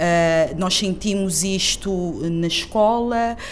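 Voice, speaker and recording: A woman speaks at a medium pitch. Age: 40s. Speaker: cultural producer, activist. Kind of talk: interview. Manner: halting, repeats words.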